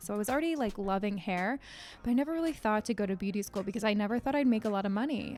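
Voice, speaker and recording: A woman talks at a very fast pace with a fairly high pitch and ordinary pitch variation. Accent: American. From US Northeast, Connecticut. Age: 20s. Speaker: podcast host, life coach and hairdresser. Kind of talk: casual solo podcast monologue. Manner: casual, with many fillers.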